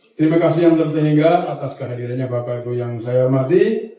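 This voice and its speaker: Audible room echo and noticeable background noise surround the recording. A man speaks in a fairly high pitch with fairly even intonation. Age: 60s. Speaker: anti-corruption agency official. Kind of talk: formal ceremonial speech. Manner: formal.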